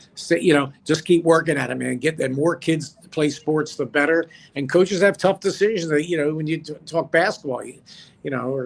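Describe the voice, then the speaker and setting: In a plain, everyday voice, a man speaks at a fairly quick pace, his pitch fairly high with ordinary variation. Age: 60s. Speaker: former sports broadcaster. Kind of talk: casual chat.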